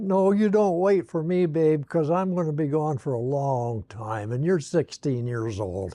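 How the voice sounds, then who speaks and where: A man with a dark, mellow tone and fairly high pitch speaks at a fairly slow pace with hardly any pauses and very wide pitch swings, against a quiet background. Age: 80s+. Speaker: retired corporate pilot. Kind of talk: family oral history interview. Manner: casual, reminiscing.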